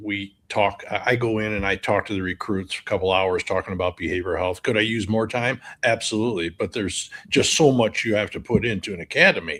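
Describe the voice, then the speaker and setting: Fairly low in pitch, a man talks in an ordinary speaking voice. His pace is fairly quick and his intonation fairly even. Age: 60s. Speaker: firefighter behavioral health advocate. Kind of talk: interview conversation.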